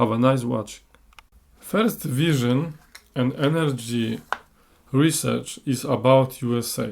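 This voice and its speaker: Speaking very slowly with long, frequent pauses, a man with a non-native accent keeps a medium pitch and ordinary pitch variation. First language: Polish. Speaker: clairvoyant. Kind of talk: monologue podcast. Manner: halting.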